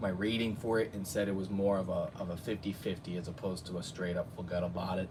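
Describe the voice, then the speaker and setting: A man with an American accent talks at a fairly quick pace in a fairly low voice, with hardly any pauses and audible room echo. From New Jersey. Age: 30s. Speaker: YouTube cartoon reviewer. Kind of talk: casual live stream chat. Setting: live stream at home. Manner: animated.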